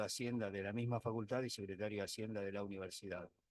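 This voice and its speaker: A man talks at a very fast pace. His fairly low voice stays monotone and flat. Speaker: expert witness, economics professor. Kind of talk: court testimony. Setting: courtroom.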